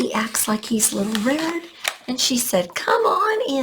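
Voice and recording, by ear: A natural voice reading aloud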